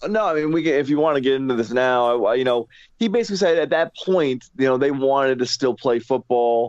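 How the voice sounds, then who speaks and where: A man's medium-pitched voice is an unremarkable speaking voice. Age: 30s.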